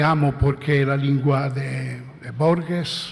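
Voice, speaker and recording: Over noticeable background noise and audible room echo, a man speaks very slowly in a fairly high pitch with monotone, flat intonation. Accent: Italian. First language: Italian (speaking Spanish). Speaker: philosopher. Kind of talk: conference talk. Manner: halting.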